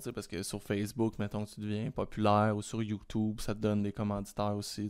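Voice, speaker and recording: Against a quiet background, a man speaks at a moderate pace. His pitch is fairly low. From Quebec. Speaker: podcast host. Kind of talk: casual interview; casual vlog chat.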